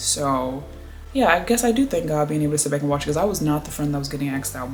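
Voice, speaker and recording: With music in the background and audible room echo, a woman talks at a very fast pace in a very deep, low pitch. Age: 20s. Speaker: vlogger. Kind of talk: casual chat.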